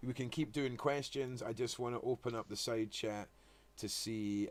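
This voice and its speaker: With a Scottish accent, a man talks at a moderate pace and medium pitch, his pitch varying in an ordinary way. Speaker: live stream host. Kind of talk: casual chat. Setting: live stream video call. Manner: loud.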